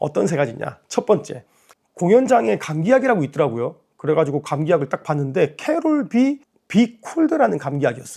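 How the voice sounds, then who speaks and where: Fairly quick and sweeping through very wide pitch swings, a man talks in a fairly high, dark and mellow voice. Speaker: YouTuber with kidney disease. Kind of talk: vlog talk to camera. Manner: casual, conversational.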